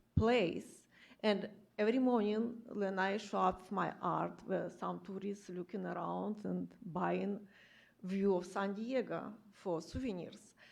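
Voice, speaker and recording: Speaking with a non-native accent, the voice keeps a fairly slow pace. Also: woman. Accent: foreign. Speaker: street artist. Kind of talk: public comment statement at government meeting. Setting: public meeting room.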